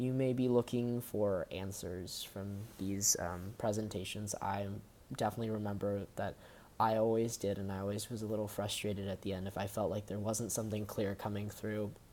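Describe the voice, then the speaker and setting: A man with an American accent talks at a moderate pace in a fairly low, dark, mellow voice with monotone, flat intonation. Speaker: college student. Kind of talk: recorded personal talk. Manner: hesitant, with fillers.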